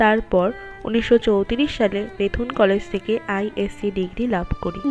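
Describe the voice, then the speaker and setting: Music plays in the background as a woman speaks. Her pitch is medium, with ordinary pitch variation. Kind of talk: first-person biographical narration.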